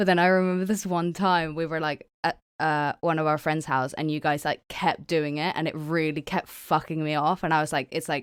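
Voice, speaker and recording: In a very clean recording with a silent background, a woman with a very deep, low pitch talks at a moderate pace with hardly any pauses. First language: not English. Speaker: podcast host. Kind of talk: casual chat. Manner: animated.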